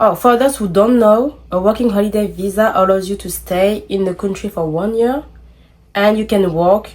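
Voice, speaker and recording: A woman's fairly high-pitched voice with a French accent. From France. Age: 20s. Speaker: content creator. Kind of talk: casual vlog talk.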